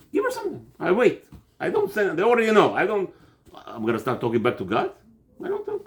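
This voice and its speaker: Amid noticeable background noise, a man talks in an animated tone at a very fast pace broken by long, frequent pauses. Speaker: religious teacher, rabbi. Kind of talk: religious class, informal lecture. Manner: loud.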